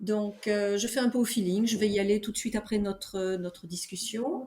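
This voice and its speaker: A woman speaks fairly slowly in a medium pitch, her tone dark and mellow, with ordinary pitch variation. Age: 70s. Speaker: veteran amateur trail runner. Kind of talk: interview conversation. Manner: hesitant, many fillers.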